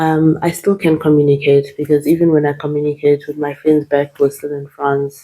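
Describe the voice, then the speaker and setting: Speaking at a moderate pace in a Zimbabwean accent, a woman has a very deep, low pitch and a dark, mellow tone, with monotone, flat intonation. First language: Shona. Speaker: nurse. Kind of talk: interview. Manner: hesitant, many fillers.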